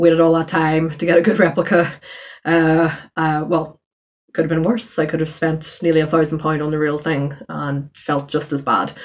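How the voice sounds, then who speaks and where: At a moderate pace, a woman with a very deep, low pitch speaks in a monotone, flat intonation. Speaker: fashion and handbag vlogger. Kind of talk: casual vlog. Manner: hesitant, many fillers.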